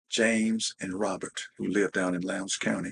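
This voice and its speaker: In an Alabama accent, a man talks with vocal fry at a fairly low pitch, his intonation flat and monotone, the sound dry and close with no echo. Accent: Southern US (Alabama). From US South. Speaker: interviewee, civil rights era witness. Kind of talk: interview storytelling.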